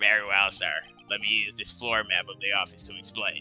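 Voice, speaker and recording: A put-on character voice at a fairly quick pace, with monotone, flat intonation and big swings in loudness. Clear music plays in the background. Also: man, fairly low pitch for a man. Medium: game stream. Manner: deferential, ends lines with sir.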